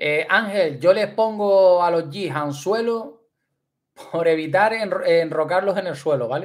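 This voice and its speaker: A man's high-pitched, animated voice at a fairly slow pace, against a quiet background. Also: ordinary pitch variation. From Canary Islands. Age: 30s. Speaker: fishing youtuber. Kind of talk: livestream chat. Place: home room. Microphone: studio mic.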